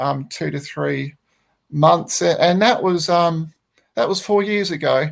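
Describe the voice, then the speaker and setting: On a very clean recording with a silent background, a man with an Australian accent speaks at a fairly slow pace. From Australia, Brisbane. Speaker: landscape architect. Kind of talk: interview. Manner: hesitant, many fillers.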